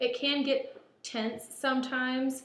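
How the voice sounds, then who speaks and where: Loud and high-pitched, a woman's voice rings with audible room echo. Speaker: baker and shop co-owner. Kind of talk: audition video.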